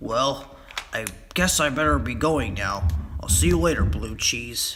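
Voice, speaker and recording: Putting on a character voice, a man speaks at medium pitch and a moderate pace with very wide pitch swings over faint background music. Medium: read story.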